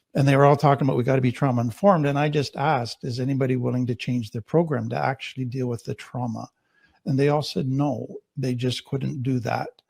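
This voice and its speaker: With a Canadian accent, a man speaks very fast at a medium pitch, somewhat breathy and fairly even in intonation, in a dry, close sound with no echo. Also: very clean recording, silent background. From Canada. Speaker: trauma therapist. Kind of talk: panel discussion introduction.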